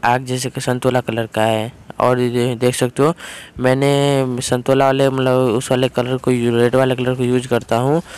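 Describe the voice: This man's tone is clear and smooth, with little pitch movement. He talks at a fairly slow pace.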